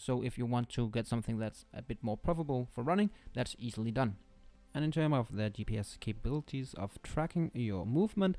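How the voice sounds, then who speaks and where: Over music in the background, a man with a non-native accent speaks very fast at a medium pitch with lively intonation. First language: not English. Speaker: tech reviewer. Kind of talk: product review. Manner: halting.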